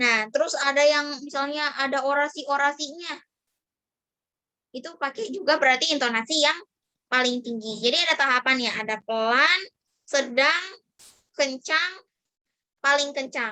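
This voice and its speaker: Raised and projected, a woman's high-pitched voice sounds bright, sharp and shrill, with ordinary pitch variation. She keeps a moderate pace broken by long, frequent pauses. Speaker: public speaking trainer; university student. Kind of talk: online training session. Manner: casual, conversational.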